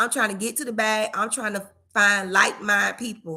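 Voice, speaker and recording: A woman's animated, bright, sharp voice in a Florida accent, fairly quick, with big swings in loudness, ordinary pitch variation and a very clean recording with a silent background. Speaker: real estate investor. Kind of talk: live stream casual talk. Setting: livestream at home.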